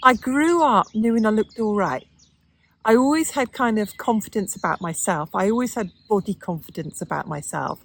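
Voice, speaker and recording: A woman speaks at a moderate pace in a fairly high pitch. Her pitch swings very widely. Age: 60s. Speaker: lifestyle vlogger. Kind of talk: casual monologue to camera. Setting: outdoors in the garden.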